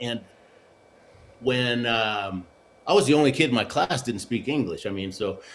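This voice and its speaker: Pausing long and often, a man with a Spanish accent speaks at a medium pitch and moderate pace with ordinary pitch variation. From Argentina, then Houston, Texas. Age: 60s. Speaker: Olympic luge athlete and motivational speaker. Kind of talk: interview, life story. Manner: animated, with frequent fillers.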